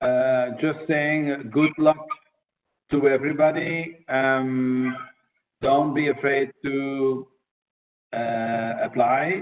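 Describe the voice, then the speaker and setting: Speaking very slowly with long, frequent pauses, a man uses a fairly high pitch and fairly even intonation. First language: Dutch (Flemish). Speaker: diplomat, press attaché. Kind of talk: webinar Q&A talk. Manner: hesitant, many fillers.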